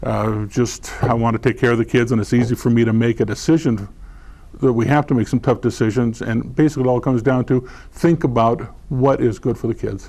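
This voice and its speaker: At a fairly quick pace, a man speaks with a dark, mellow tone at a medium pitch, with vocal fry and fairly even intonation. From California, San Diego. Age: 60s. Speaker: school board candidate. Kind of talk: candidate forum answer. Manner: halting, many fillers and repeats.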